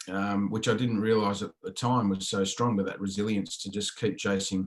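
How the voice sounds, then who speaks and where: A man speaks with an Australian accent at a moderate pace. His pitch sits fairly low. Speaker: football coach, leadership speaker. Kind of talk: interview. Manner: hesitant, many fillers.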